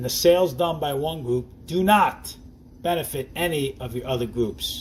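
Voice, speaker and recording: A somewhat breathy man with a New Jersey accent, fairly high pitch and lively intonation. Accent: New Jersey accent, noticeable. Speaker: network marketing distributor. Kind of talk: sales presentation. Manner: casual, conversational.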